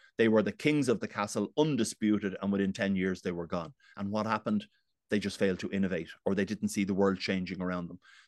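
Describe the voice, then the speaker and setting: Against a quiet background, a man with a Dublin accent talks very fast in a fairly low pitch, his pitch varying in an ordinary way. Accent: Dublin Irish. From Dublin, Ireland. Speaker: business executive. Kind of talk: casual interview chat.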